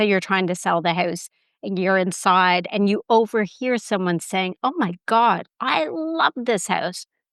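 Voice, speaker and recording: In a normal speaking voice with a Canadian accent, the speaker talks at a moderate pace with ordinary pitch variation, the sound dry and close with no echo over a quiet background. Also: woman. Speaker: self-respect expert, podcast guest. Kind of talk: casual interview chat.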